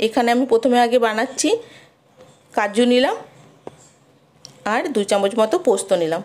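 A woman's fairly high voice has a slightly mellow tone, ordinary pitch variation and a moderate pace.

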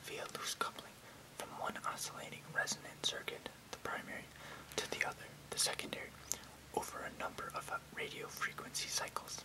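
Soft-spoken whispering at a fairly quick pace over loud background noise. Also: man. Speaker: video creator. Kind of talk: casual explanatory vlog, reading technical text. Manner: soft close ASMR whisper. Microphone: webcam.

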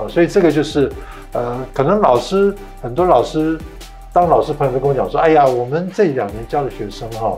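The speech moves at a fairly quick pace, with faint music in the background. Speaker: talk show host. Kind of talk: interview conversation. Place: studio.

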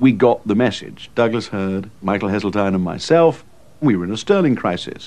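This man has a plain, everyday voice pitched fairly low. His pitch varies an ordinary amount, and he moves at a moderate pace. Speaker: former government insider interviewed. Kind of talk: reflective documentary interview.

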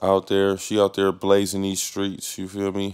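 A man with an American accent, fairly low pitch, and a moderate pace. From Ohio, Lorain near Cleveland. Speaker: podcast host. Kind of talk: casual chat. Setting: studio with producer in the back. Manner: animated.

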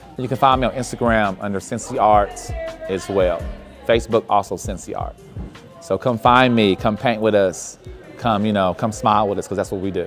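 Over clear music in the background, a man talks at a fairly quick pace in a fairly low pitch with fairly even intonation. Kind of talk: interview answer. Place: hall. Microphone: lapel.

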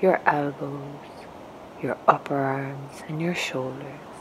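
Over noticeable background noise, a woman with a very deep, low pitch talks very slowly in a gentle tone with fairly even intonation. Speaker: meditation guide. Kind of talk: guided meditation. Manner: gentle, slow.

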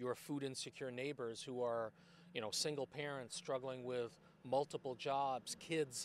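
A man talks at a fairly slow pace with fairly even intonation. Light background noise sits under a dry sound with no echo. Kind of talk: interview answer. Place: street. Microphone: handheld.

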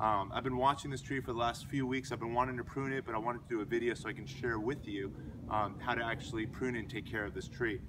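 A man talks at a very fast pace with fairly even intonation. Noticeable background noise runs underneath. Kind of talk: tutorial. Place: garden. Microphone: camera far.

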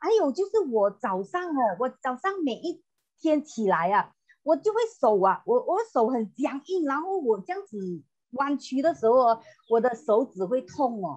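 A woman's high voice at a fairly slow pace, with very wide pitch swings against a quiet background. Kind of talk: testimonial. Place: home room. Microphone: earbuds.

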